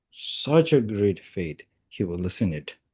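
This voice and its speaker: At a very slow pace, a man with a Tibetan accent speaks in a dark, mellow tone. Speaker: Tibetan Buddhist lama. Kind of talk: dharma teaching. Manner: halting, many fillers.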